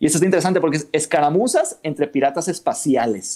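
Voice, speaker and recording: At a fairly high pitch, a man keeps to a moderate pace. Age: 30s. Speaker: miniature painter and board gamer. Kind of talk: casual chat.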